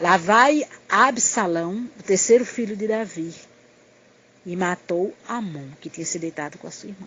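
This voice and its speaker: An unremarkable speaking voice with lively intonation, big swings in loudness and a fairly slow pace. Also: woman, medium pitch for a woman. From Pernambuco, northeastern Brazil. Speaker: missionary preacher. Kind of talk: sermon. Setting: recorded audio message.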